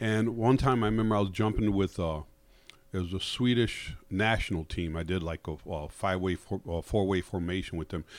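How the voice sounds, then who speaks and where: An ordinary speaking voice comes through in an American accent at a fairly quick pace. Pitch varies an ordinary amount, and the recording is very clean, with a silent background. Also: man, fairly low pitch for a man. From Connecticut, US. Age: 50s. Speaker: comedian. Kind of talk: casual chat. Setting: studio.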